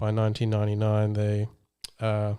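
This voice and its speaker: In a very clean recording with a silent background, a man with a fairly low pitch and a dark, mellow tone speaks in a monotone, flat intonation. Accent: Australian. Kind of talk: podcast host, casual talk.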